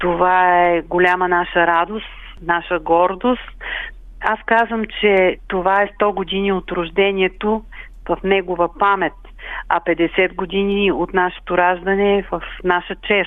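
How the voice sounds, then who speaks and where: The woman's voice is medium in pitch and very even in loudness. She talks fairly slowly with a monotone, flat intonation. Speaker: community cultural centre secretary. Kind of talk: radio interview.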